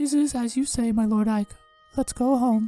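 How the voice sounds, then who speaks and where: Over faint background music, a put-on character voice speaks at a moderate pace and a fairly high pitch. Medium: solo performance. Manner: soft, formal.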